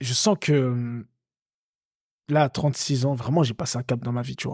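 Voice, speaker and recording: A man speaks here. The recording is very clean and the background silent. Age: 30s. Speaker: podcast co-host, coach. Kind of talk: casual chat. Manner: halting.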